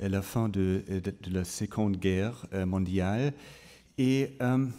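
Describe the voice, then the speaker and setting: In a very clean recording with a silent background, a man with a German accent speaks at a very slow pace. His fairly low pitch carries a dark, mellow tone and ordinary pitch variation. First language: German (speaking French). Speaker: photography curator. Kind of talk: conference talk. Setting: museum auditorium with audience. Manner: halting, many fillers.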